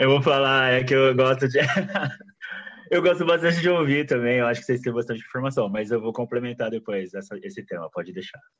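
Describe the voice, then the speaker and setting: With lively intonation and a fairly quick pace, a man speaks at a medium pitch in a normal speaking voice. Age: 30s. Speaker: pharmacist. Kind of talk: panel discussion.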